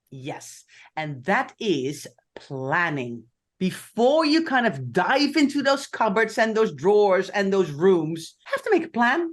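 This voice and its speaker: Over a quiet background, a woman with a Dutch accent speaks at a very slow pace. Her medium-pitched voice moves through very wide pitch swings. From Netherlands. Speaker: podcast co-host. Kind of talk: casual chat.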